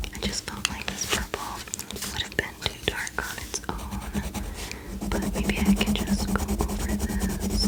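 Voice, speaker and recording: A woman whispers at a fairly slow pace. She leaves long, frequent pauses, with noticeable background noise present. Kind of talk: casual ASMR talk to camera. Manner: soft-spoken, whispered.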